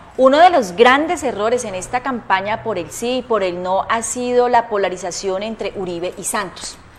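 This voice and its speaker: A woman speaks at a moderate pace with hardly any pauses. Noticeable background noise is present. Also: fairly high pitch for a woman. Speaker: talk show host. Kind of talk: political commentary; interview.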